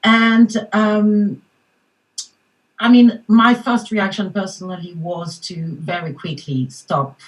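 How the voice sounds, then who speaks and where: The speaker has a French accent, a somewhat breathy delivery and lively intonation. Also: woman. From France, Paris. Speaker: mindfulness coach. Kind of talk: panel discussion.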